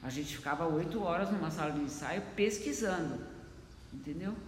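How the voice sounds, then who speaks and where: A woman speaks with ordinary pitch variation, her voice carrying audible room echo and noticeable background noise. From Brazil. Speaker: choreographer and dance teacher. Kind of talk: interview.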